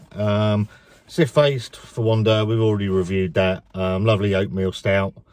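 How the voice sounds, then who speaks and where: A man at a moderate pace with a fairly low pitch and a plain, everyday voice, dry sound with no echo. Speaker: beer vlogger. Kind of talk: casual vlog chat. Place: car. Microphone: phone near.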